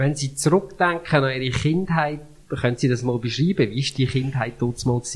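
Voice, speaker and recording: Somewhat breathy, a man speaks at a fairly high pitch and moderate pace with ordinary pitch variation. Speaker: church podcast host. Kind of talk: interview.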